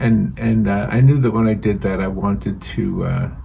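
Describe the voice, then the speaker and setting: A man speaks at a fairly slow pace with a fairly low pitch. Noticeable background noise can be heard behind him. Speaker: painting channel host. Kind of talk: casual talk to camera, painting demonstration intro. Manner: gentle, relaxed.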